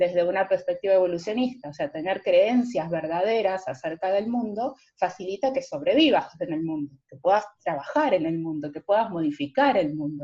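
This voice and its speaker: A woman with a dark, mellow tone speaks at a moderate pace with lively intonation. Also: big swings in loudness. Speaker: philosophy lecturer. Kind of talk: lecture.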